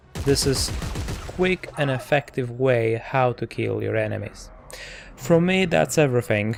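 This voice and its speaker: A man speaks fairly slowly with a non-native accent. There is noticeable background noise. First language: not English. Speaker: tech reviewer. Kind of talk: product review tutorial. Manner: halting, with many fillers and repetitions.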